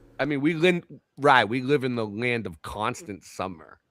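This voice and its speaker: Here a man with a Boston accent talks at a fairly slow pace and medium pitch. His tone is bright, sharp and animated, with lively intonation, on a very clean recording with a silent background. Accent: thick Boston. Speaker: livestream host. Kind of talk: casual live stream reaction chat.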